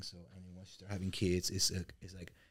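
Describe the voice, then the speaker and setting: A man talks at a moderate pace. He speaks with a Mexican accent. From Mexico. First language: Spanish. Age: 40s. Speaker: real estate business owner and coach. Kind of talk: interview conversation.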